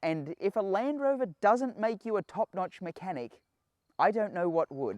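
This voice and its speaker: With an Australian accent, a man with a high pitch makes very wide pitch swings, the sound dry and close with no echo against a quiet background. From Australia, Sydney. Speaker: automotive engineer, channel host. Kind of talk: casual channel introduction.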